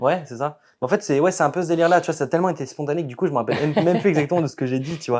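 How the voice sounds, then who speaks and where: Over a very clean recording with a silent background, a man with a fairly high pitch and ordinary pitch variation talks at a very fast pace. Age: 20s. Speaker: competitive bodybuilder. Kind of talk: podcast interview.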